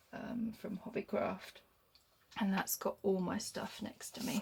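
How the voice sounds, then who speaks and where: Vocal fry runs through fairly slow speech with fairly even intonation. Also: woman. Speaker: crafter. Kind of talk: casual craft tutorial talk.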